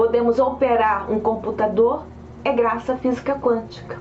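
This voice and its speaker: A woman speaks at a moderate pace in a fairly high pitch with monotone, flat intonation. Noticeable background noise and audible room echo surround her voice. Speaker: science video presenter. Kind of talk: lecture. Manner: hesitant repetitions.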